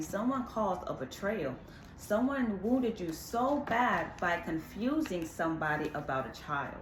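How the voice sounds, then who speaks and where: Animated in tone, a woman at a medium pitch makes very wide pitch swings, with audible room echo and noticeable background noise in the recording. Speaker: tarot reader. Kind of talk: tarot reading.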